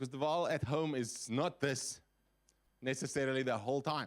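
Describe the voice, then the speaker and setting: A man talks loudly in an animated tone at a fairly slow pace. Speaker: guest preacher. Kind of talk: sermon.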